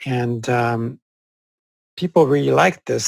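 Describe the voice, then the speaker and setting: At a moderate pace, a man with a French accent talks at medium pitch, somewhat breathy, with fairly even intonation. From Corsica, France. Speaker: psychologist. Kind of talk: interview. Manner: halting, with frequent fillers.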